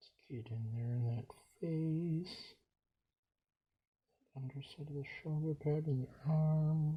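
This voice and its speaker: His fairly high, somewhat breathy voice has a dark, mellow tone and fairly even intonation. The man talks at a very slow pace with long, frequent pauses and big swings in loudness. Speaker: hobbyist miniature painter, YouTuber. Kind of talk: casual painting commentary. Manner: mumbling, quiet. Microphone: poor recording setup.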